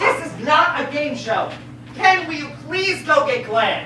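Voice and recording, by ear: In a put-on character voice, a woman speaks at a high pitch and a fairly slow pace, bright and sharp in tone with lively intonation. Room echo is audible.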